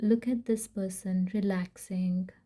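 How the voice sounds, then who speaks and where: At a very slow pace, the voice is somewhat breathy, dark and mellow in tone, with fairly even intonation. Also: woman. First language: not English. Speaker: tarot reader. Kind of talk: tarot reading. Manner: casual, hesitant with fillers.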